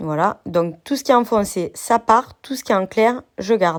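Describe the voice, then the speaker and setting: Speaking at a fairly slow pace with lively intonation, a woman of fairly high pitch has a normal speaking voice, in a very clean recording with a silent background. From southern France. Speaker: crafts youtuber. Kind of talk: software tutorial.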